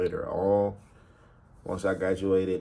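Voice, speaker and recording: A man speaks with a Southern US accent. His pitch is very deep and low. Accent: country Southern. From US South, Albany, Georgia. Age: 20s. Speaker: rapper and college student. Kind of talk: casual vlog monologue. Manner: casual, hesitant with many fillers.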